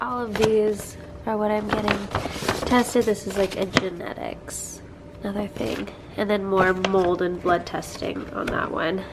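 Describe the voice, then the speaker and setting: Noticeable background noise runs under a woman's medium-pitched voice. She speaks at a fairly slow pace with fairly even intonation. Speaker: health vlogger and functional medicine coach. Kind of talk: casual vlog.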